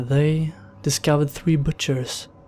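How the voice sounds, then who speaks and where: Behind the voice, there is music. The man's intonation stays fairly even. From Sweden. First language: Swedish. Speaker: horror story narrator. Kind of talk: countdown commentary.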